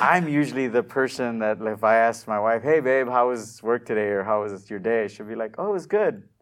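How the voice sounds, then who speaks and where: With an American accent, a man at medium pitch uses an ordinary speaking voice with ordinary pitch variation. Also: fairly quick pace. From US-Mexico border region. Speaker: digital marketing entrepreneur. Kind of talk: interview.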